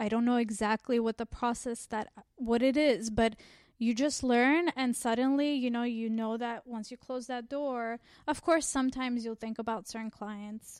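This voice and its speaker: A woman with an American accent and an unremarkable speaking voice talks at a moderate pace, with a fairly high pitch and fairly even intonation. The recording is very clean with a silent background and a dry, close sound with no echo. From Armenian community, US. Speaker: family therapist. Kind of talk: interview.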